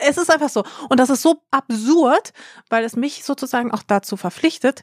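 A woman speaks in a normal speaking voice at a moderate pace, with lively intonation. The recording is very clean, with a silent background and a dry, close sound with no echo. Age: 30s. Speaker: influencer. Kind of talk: casual chat.

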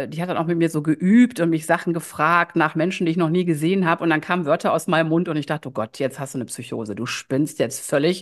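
The talking is very fast. Behind it, the background stays quiet. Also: woman. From Germany, Düsseldorf area. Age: 50s. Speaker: life coach and shaman. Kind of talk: podcast interview.

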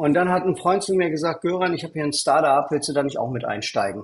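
Male speech, somewhat breathy, its pitch moving in an ordinary way. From East Berlin, Germany. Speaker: angel investor and entrepreneur. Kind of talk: interview.

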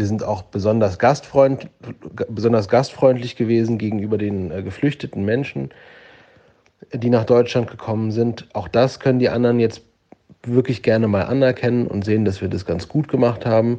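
At a moderate pace, a man speaks at a medium pitch with a dark, mellow tone and ordinary pitch variation. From Germany. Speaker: listener sending voice message. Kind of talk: voice message monologue.

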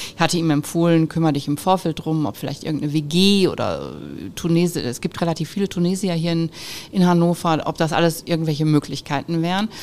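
A woman talking at a very fast pace, her pitch fairly low. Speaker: business owner, managing director of a metalworking firm. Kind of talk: interview. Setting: at her company premises.

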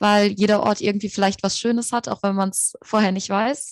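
On a very clean recording with a silent background and a dry, close sound with no echo, a woman with an unremarkable speaking voice talks at a fairly quick pace and fairly high pitch. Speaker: student and podcaster. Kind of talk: interview.

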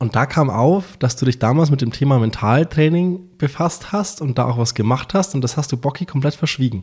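Recorded very cleanly against a silent background, a man with a fairly high, somewhat breathy voice and lively intonation speaks at a moderate pace with hardly any pauses. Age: 20s. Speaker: podcast co-host. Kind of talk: casual chat.

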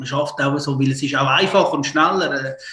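A man's fairly high voice at a fairly quick pace. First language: Italian or Swiss German (speaking German). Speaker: football coach. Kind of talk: casual interview. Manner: halting.

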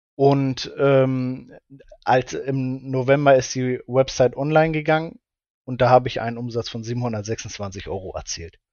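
The delivery is fairly slow, with fairly even intonation. Loudness rises and falls in big swings. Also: man, medium pitch for a man. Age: 20s. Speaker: shop owner, former dropshipper. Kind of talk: interview. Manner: hesitant, many fillers.

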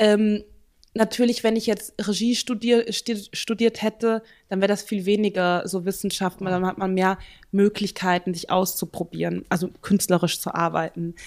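In a very clean recording with a silent background, a woman speaks at medium pitch in a monotone, flat way. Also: moderate pace. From central Germany. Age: 20s. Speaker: theatre dramaturge. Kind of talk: interview.

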